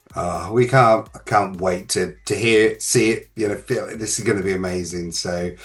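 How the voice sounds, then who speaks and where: A man talks in a normal speaking voice, fairly low in pitch, at a moderate pace. His intonation stays fairly even and he hardly pauses at all. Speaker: podcast host. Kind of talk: interview host talk.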